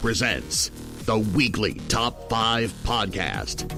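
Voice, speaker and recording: This male speaker goes at a very slow pace. Behind him, music can be heard. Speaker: voice actor. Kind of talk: movie trailer.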